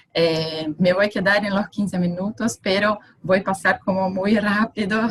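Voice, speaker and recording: A woman's fairly slow delivery shows ordinary pitch variation. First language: Portuguese (speaking Spanish). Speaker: architect. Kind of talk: conference presentation. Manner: halting.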